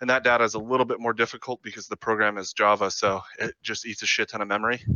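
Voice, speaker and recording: Here a man talks at a fairly quick pace with medium pitch. His intonation stays monotone and flat. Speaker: guest presenting a product. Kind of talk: casual chat.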